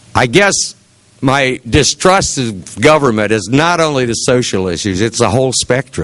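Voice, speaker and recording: In a Midwestern US accent, a man talks at a medium pitch. He goes at a fairly slow pace with very wide pitch swings. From Ohio, Seneca County. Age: 60s. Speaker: political candidate. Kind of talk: campaign speech. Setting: meeting with audience. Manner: earnest.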